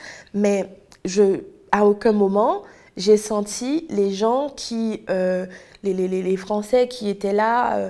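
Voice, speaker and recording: Very slowly, a woman of medium pitch speaks with a dark, mellow tone and ordinary pitch variation. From Haiti. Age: 20s. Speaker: testimony guest, history graduate. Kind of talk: testimony. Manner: halting, many repetitions and fillers.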